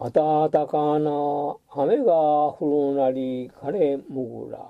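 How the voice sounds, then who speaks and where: This man's voice is fairly high in pitch, with fairly even intonation. He speaks at a very slow pace. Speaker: amateur haiku reader. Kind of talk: poetry reading.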